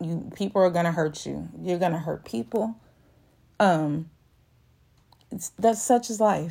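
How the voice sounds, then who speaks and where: A woman with an American accent speaks in a fairly low voice with a dark, mellow tone. Her pitch varies in an ordinary way. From Texas, Houston. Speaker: podcast host. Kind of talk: motivational monologue.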